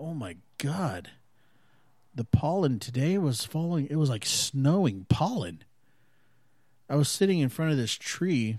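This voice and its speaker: With an American accent, a man speaks at a fairly slow pace in a fairly high, somewhat breathy voice, his pitch swinging very widely. He takes long, frequent pauses on a very clean recording with a silent background. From United States, various regions. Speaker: podcast host. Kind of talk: casual solo chat. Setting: home recording, window open.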